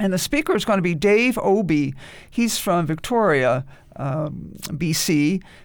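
In a very clean recording with a silent background, a woman with an American accent talks at a fairly slow pace, her fairly low voice carrying lively intonation. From New York. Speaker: genealogy society officer. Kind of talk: radio interview. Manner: halting, many fillers.

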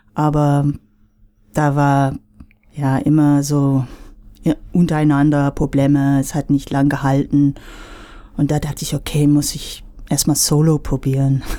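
A woman speaks with a very deep, low pitch and a dark, mellow tone. Her pace is fairly slow. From United States. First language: English (speaking German). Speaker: singer-songwriter. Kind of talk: radio interview.

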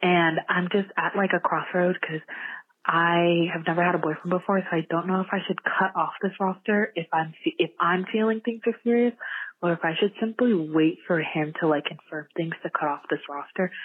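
A woman with an American accent in an ordinary speaking voice, fairly low in pitch, with ordinary pitch variation at a moderate pace. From Virginia. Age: 19. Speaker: caller. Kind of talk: advice call-in.

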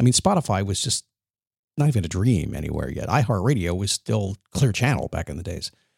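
An energetic man with a fairly low pitch speaks at a very fast pace in a dry, close sound with no echo, on a very clean recording with a silent background. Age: 60s. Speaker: motivational podcast host. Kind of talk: motivational monologue.

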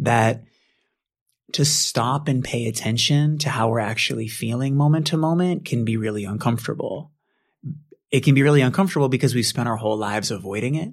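On a very clean recording with a silent background, a man with an American accent talks at a fairly quick pace, medium pitch, and ordinary pitch variation. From Boston. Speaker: author, Buddhist teacher. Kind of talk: interview about his book. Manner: humble, gentle.

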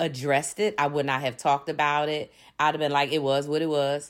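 Woman with an American accent and a very deep, low pitch at a moderate pace, on a very clean recording with a silent background. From Philadelphia, Pennsylvania, US. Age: 50s. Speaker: diversity consultant. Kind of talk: personal monologue.

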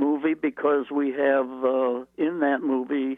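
A man speaks with a Midwestern American accent. His pace is fairly slow. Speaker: retired automotive engineer. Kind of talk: radio interview. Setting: phone call.

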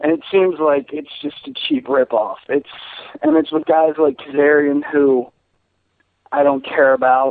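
A man uses an ordinary speaking voice, fairly high in pitch, at a fairly slow pace with fairly even intonation. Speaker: caller. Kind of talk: casual chat. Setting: phone call.

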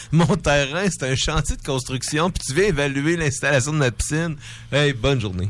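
A man's fairly high-pitched voice carries vocal fry and ordinary pitch variation. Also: moderate pace. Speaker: radio show guest. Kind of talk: casual chat.

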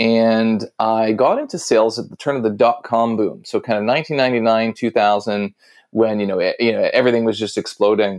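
In a normal speaking voice, a man with a Canadian accent talks at a fairly quick pace and medium pitch, his intonation fairly even. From Toronto, Canada. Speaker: author and sales expert. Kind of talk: casual interview chat.

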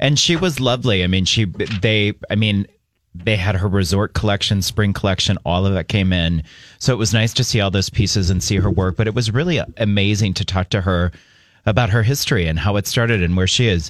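A man's fairly low voice at a fairly quick pace, with ordinary pitch variation, very even loudness, and a very clean recording with a silent background. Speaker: radio co-host. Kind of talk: casual chat. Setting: studio.

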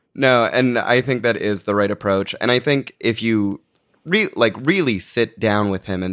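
In a normal speaking voice, a man with a fairly low pitch and ordinary pitch variation speaks at a fairly slow pace, with a dry, close sound and no echo. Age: 20s. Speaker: podcast producer. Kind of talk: casual chat. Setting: studio.

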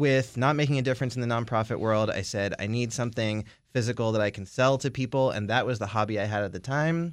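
With an American accent, this unremarkable speaking voice moves at a fairly quick pace with ordinary pitch variation. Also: man, quiet background. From Maryland, Baltimore area. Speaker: bread business owner. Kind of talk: casual interview. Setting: studio.

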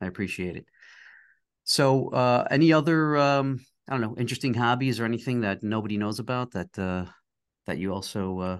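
A man at a medium pitch with ordinary pitch variation and a fairly quick pace, against a quiet background. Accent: New York. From New York, Queens. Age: 50s. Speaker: podcast host, design studio owner. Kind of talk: casual interview. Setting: studio.

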